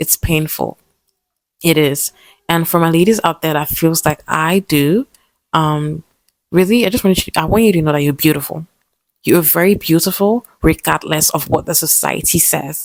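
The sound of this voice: A woman's low voice with vocal fry, ordinary pitch variation and a moderate pace, in a dry, close sound with no echo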